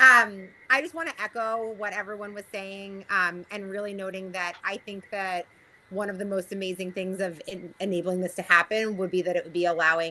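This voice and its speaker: A woman in a Boston accent, with a bright, sharp tone, medium pitch and fairly quick pace. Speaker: resident speaking at public hearing. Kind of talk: public comment at town meeting.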